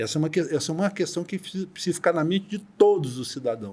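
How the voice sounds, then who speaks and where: Very fast speech comes from a man with ordinary pitch variation. The recording is very clean, with a silent background. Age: 60s. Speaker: deputy notary. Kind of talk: podcast interview. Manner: animated.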